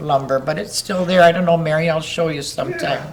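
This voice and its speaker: Noticeable background noise sits behind a woman with a fairly low pitch. She speaks with an Upper Midwest US accent and fairly even intonation. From northern Wisconsin. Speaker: local elder interviewee. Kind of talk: oral history interview.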